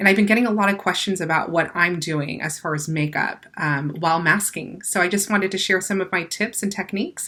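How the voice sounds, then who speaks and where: At a fairly quick pace, a woman with a bright, sharp tone and medium pitch speaks with ordinary pitch variation. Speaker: makeup artist and cosmetics brand owner. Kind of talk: tutorial. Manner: casual, many fillers.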